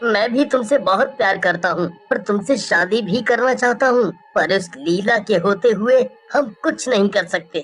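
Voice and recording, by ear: Moderate pacing in a put-on character voice. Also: female-sounding voice, medium pitch for a woman.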